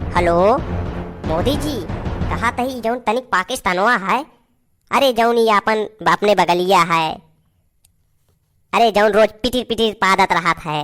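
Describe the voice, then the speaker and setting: A woman's cartoonish character voice at a medium pitch with ordinary pitch variation and a moderate pace, broken by long, frequent pauses, with music in the background. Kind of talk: rustic cartoon comedy. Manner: loud, bossy, coarse.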